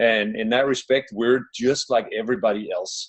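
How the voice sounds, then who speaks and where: Speaking at a moderate tempo, the man has a Danish accent. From Denmark. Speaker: relationship coach. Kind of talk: webinar presentation. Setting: living room, online webinar.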